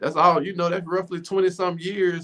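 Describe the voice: A man's high-pitched, fairly bright voice at a moderate pace, with little pitch movement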